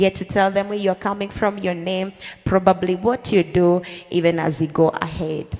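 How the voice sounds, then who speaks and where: With fairly even intonation and a moderate pace, a woman talks while noticeable noise sounds in the background. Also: medium pitch for a woman. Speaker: podcast host.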